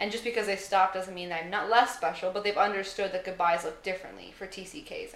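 Against noticeable background noise, a woman talks at a very fast pace with hardly any pauses and big swings in loudness. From Costa Rica and Canada. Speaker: podcast guest. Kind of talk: casual chat.

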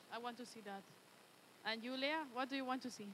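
A woman with a Spanish accent speaks in a raised, projected voice. Her pitch is high, her tone bright and sharp. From Honduras, raised partly in Spain. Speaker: Bible college student. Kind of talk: interview testimony. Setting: church.

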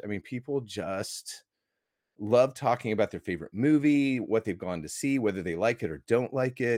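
A man with an American accent speaks at medium pitch and a moderate pace, with lively intonation, in a very clean, dry, close recording with no echo and a silent background. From US Midwest, Iowa. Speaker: movie critic and author. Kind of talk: interview conversation.

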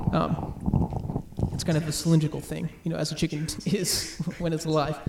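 Noticeable background noise sits behind a man's fairly high voice. He speaks with monotone, flat intonation. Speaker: podcast host. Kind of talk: casual chat. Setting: home, recording at kitchen table.

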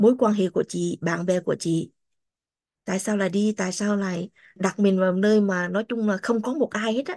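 A woman's dark, mellow voice at medium pitch, with fairly even intonation, a moderate pace and a dry, close sound with no echo. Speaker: guest sharing her life story. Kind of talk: casual chat.

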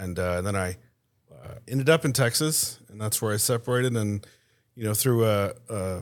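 In a very clean recording with a silent background, a man with an American accent speaks in a plain, everyday voice at a moderate pace, with a fairly low pitch and ordinary pitch variation. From Tampa, Florida. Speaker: former military investigator and intelligence specialist. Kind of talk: panel discussion. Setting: studio.

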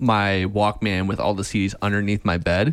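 The voice belongs to a man and sits at a fairly low pitch. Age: 30s. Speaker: podcast co-host. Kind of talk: casual chat.

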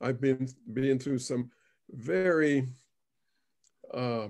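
A man's voice at a medium pitch. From Israel. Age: 80s+. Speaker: author and war veteran. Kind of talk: interview. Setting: video call. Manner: halting.

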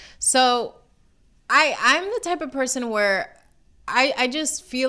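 A bright, sharp voice with a New York accent and lively intonation comes through in a very clean recording with a silent background. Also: woman. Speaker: podcast co-host. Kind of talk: casual chat.

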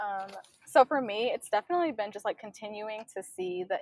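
With an American accent and an unremarkable speaking voice, a woman of medium pitch talks at a fairly quick pace with lively intonation in a dry, close sound with no echo. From St. Louis, Missouri. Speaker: law student. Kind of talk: casual chat.

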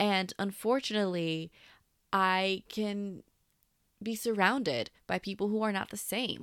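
A woman of medium pitch at a fairly slow pace, with long, frequent pauses, ordinary pitch variation, and a very clean recording over a silent background. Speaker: podcast host. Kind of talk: casual solo monologue. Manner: animated, engaged.

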